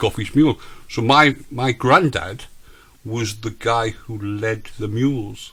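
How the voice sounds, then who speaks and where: In a northern English accent, a man speaks very slowly at a medium pitch with ordinary pitch variation. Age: 50s. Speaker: radio host. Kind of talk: casual chat.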